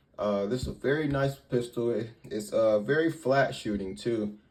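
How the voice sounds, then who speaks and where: With ordinary pitch variation and a medium pitch, a man speaks at a fairly slow pace. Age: 20s. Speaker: firearms reviewer. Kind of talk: product review. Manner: halting, many fillers; casual.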